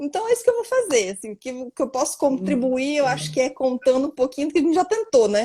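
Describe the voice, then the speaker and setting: At a very fast pace, a high-pitched woman talks with very wide pitch swings. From Brazil, various cities. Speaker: lawyer and mediator. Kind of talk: live-stream interview. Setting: online live stream. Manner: animated.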